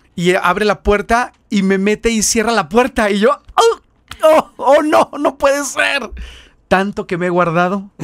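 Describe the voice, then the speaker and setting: A man speaks in a Mexican accent at a fairly slow pace. His pitch is high and his tone animated. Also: lively intonation. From Mexico. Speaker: missionary. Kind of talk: testimony.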